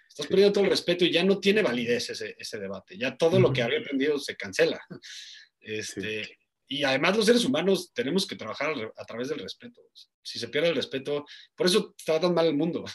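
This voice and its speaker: A man's fairly high, fry-laced voice at a very fast pace, with very wide pitch swings. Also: big swings in loudness. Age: 30s. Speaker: sports journalist and betting analyst. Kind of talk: casual interview.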